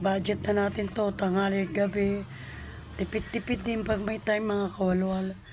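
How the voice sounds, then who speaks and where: Somewhat breathy, a woman speaks at a medium pitch and moderate pace in a monotone, flat intonation. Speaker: cooking vlogger. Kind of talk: cooking vlog. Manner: halting; casual.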